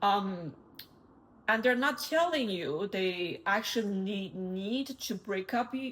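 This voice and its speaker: Somewhat breathy and medium in pitch, a woman speaks with lively intonation and a non-native accent. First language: not English. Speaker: tarot reader. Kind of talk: tarot reading.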